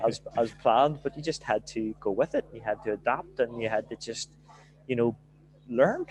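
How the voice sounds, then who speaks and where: Recorded dry and close with no echo, a man talks with a strong Belfast accent. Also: moderate pace. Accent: broad Belfast. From Northern Ireland, Belfast. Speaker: football manager. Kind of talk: podcast interview.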